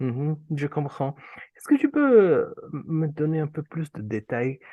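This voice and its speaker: A man with an Urdu accent speaks very slowly in a fairly high voice. His pitch varies an ordinary amount while his loudness swings widely. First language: Urdu (speaking French). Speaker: interviewer, association president. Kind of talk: interview. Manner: hesitant, many fillers.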